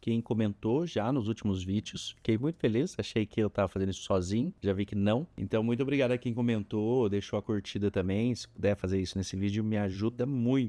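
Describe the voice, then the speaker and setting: Fairly quick and with hardly any pauses, a man talks in a dark, mellow, fairly low voice with ordinary pitch variation and a dry, close sound with no echo. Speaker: photography teacher. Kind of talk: tutorial. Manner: casual.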